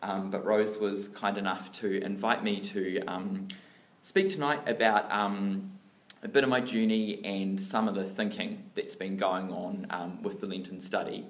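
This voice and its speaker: Audible room echo surrounds a man with a New Zealand accent. He talks at a fairly slow pace and fairly low pitch with fairly even intonation. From New Zealand, Dunedin. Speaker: lay church speaker. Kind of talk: sermon-style talk.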